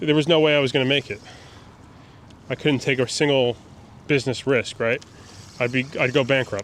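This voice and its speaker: A man talks at a fairly quick pace with fairly even intonation. He leaves long, frequent pauses. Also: medium pitch for a man. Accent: New York. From New York City, Brooklyn. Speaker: fishing YouTuber. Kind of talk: casual vlog commentary while fishing. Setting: outdoors on a kayak near a bridge.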